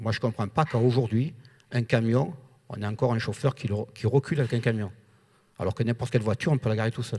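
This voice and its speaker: In a southern French accent, the speaker talks at a very fast pace yet with long, frequent pauses, in a somewhat breathy, dark and mellow voice with fairly even intonation on a very clean recording with a silent background. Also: man, medium pitch for a man. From southern France. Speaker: trucking company owner. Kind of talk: panel discussion.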